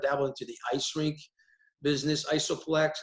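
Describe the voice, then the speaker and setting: With a Quebec accent, a man speaks at a fairly quick pace. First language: French. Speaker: hockey player agent. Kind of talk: panel discussion. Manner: halting, many repetitions.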